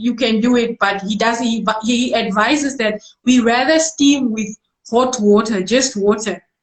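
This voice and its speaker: In a non-native accent, a woman speaks at a fairly slow pace in a high voice with ordinary pitch variation. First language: not English. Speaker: musician and medical doctor. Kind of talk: casual interview. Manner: halting.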